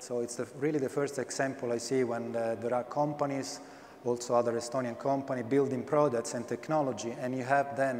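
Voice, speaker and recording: A man at a fairly quick pace, medium in pitch, with fairly even intonation. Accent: Italian. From Italy. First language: Italian. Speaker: blockchain panelist. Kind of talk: panel discussion.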